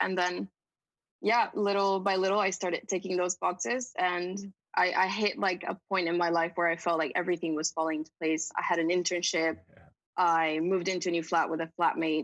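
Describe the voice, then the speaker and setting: In a dry, close recording with no echo, a woman with a normal speaking voice and fairly low pitch talks at a fairly quick pace with fairly even intonation. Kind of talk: interview answer.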